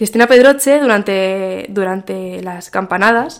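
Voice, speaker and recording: A woman's voice at medium pitch. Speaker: marketing director and podcaster. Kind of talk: interview.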